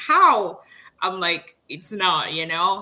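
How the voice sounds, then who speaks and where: A woman with a French accent makes very wide pitch swings. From Congo, Kinshasa. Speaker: engineer and online business owner. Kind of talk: interview.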